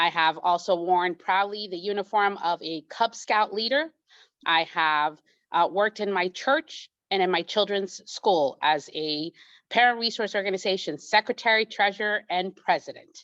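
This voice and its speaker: A woman speaks in a plain, everyday voice at a medium pitch with ordinary pitch variation. The sound is dry and close with no echo, over a quiet background. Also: moderate pace. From immigrant, came to the US at age eight. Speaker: judicial candidate, attorney. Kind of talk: candidate forum speech.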